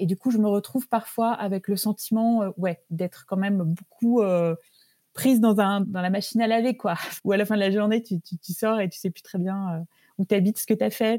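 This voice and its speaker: This woman's dark, mellow voice keeps fairly even intonation, recorded dry and close with no echo. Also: medium pitch for a woman, moderate pace. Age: 50s. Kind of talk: interview. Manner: hesitant, many filler words.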